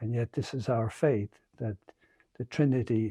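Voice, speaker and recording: A man with an Irish accent speaks at a fairly slow pace and medium pitch, his voice somewhat breathy with a dark, mellow tone. The intonation is fairly even, and the sound is dry and close with no echo. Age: 70s. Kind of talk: homily. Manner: halting.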